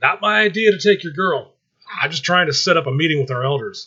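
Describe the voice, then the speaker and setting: Putting on a character voice, a man speaks at a high pitch and a very fast pace. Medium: read story.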